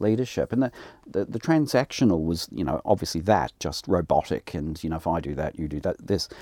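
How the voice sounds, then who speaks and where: A man with a New Zealand accent and a very deep, low pitch, his dark, mellow tone carried by lively intonation at a fairly quick pace, in a dry, close sound with no echo. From New Zealand, rural Hawke's Bay. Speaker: college principal. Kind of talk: interview.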